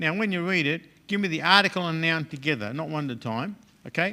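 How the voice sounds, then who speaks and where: A loud man with a high pitch, a bright, sharp tone and a moderate pace. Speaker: Greek teacher. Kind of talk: lecture.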